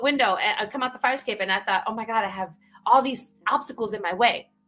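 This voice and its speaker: In a New York accent, a woman speaks fairly quickly with a high pitch, lively intonation and an animated, bright, sharp tone. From New York (the Bronx). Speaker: author and speaker. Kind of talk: casual interview.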